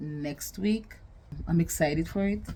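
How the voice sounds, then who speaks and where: A woman's dark, mellow tone. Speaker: vlogger and podcaster. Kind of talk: casual talk to camera.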